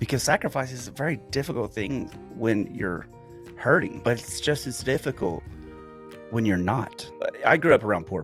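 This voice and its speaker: A man's medium-pitched voice at a moderate pace, lively in intonation, with music in the background. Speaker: former police officer. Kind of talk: monologue to camera.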